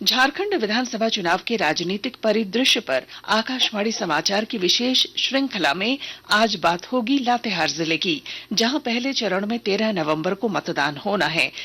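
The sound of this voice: A woman's medium-pitched voice, bright and sharp in tone, with lively intonation, a moderate pace and few pauses.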